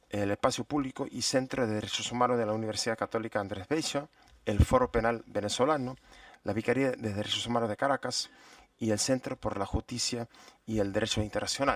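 A man speaks at a fairly quick pace with fairly even intonation. The sound is dry with no echo, over a quiet background. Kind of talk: formal session chairing announcement. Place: hall. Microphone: podium.

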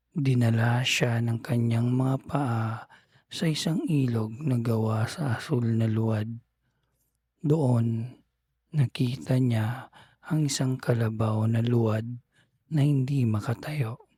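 Very slow and soothing, the voice has a gentle, dark, mellow tone, somewhat breathy, with very even loudness and ordinary pitch variation. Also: man, medium pitch for a man. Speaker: bedtime storyteller. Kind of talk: bedtime story narration, read aloud. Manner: slow, soothing, gentle; calm, dreamy storytelling pace.

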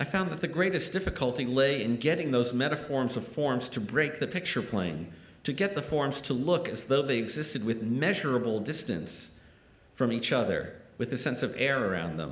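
Audible room echo surrounds a man at a medium pitch. He speaks at a moderate pace with vocal fry. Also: lively intonation. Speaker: art critic and poet; poet. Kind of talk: lecture. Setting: lecture hall with audience. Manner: formal, academic. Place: hall. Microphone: podium.

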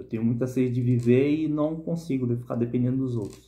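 The man's voice has a dark, mellow tone and sounds somewhat breathy. He keeps a moderate pace. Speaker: bible reflection vlogger. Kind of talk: Bible reading and reflection. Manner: casual, informal. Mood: earnest, personal. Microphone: phone near.

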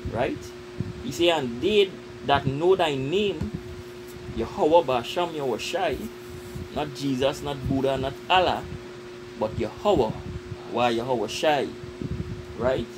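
Noticeable background noise surrounds a man speaking at medium pitch with lively intonation. He goes very slowly, with long, frequent pauses. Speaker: religious group member. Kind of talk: religious discussion.

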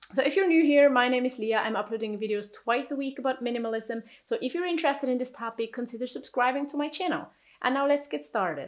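The intonation is lively and the pace very fast. The background is quiet. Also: woman, high pitch for a woman. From Switzerland. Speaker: YouTuber minimalism vlogger. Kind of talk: monologue vlog, personal storytelling. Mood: calm, reflective. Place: home room.

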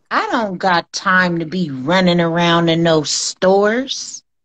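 The background stays quiet while a woman talks. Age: 40s. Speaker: livestream co-host. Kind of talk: casual chat. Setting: video call. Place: home room. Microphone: phone near.

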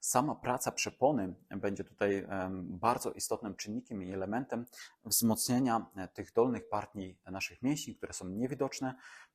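Ordinary pitch variation from a man at a medium pitch, very clean recording and a silent background. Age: 30s. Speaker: fitness and regeneration trainer. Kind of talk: exercise tutorial. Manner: calm, instructive.

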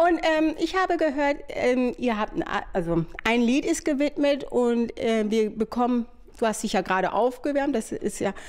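Against a quiet background, a woman with a high pitch speaks with very wide pitch swings yet very even loudness. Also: moderate pace. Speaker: TV lifestyle reporter. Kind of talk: casual interview. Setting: interviewee's living room. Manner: halting. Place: home room. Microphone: handheld.

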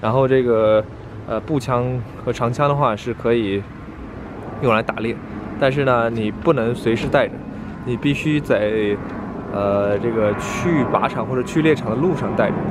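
There is noticeable background noise behind a man speaking at a moderate pace with ordinary pitch variation. He leaves long, frequent pauses. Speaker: vlogger. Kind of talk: casual vlog chat. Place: street. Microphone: phone near.

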